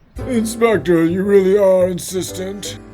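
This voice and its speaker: Over faint background music, a man uses a put-on character voice, high-pitched, at a moderate pace. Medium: fan dub.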